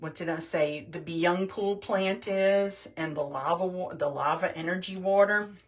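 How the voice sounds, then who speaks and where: This woman's voice sits at a medium pitch. It varies in pitch in an ordinary way. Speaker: skincare product demonstrator. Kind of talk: tutorial. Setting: livestream video. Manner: slow.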